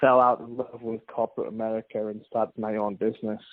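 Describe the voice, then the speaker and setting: A man speaks at a moderate pace. His intonation stays monotone and flat. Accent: English. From England. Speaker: finance consultant, company founder. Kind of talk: podcast interview.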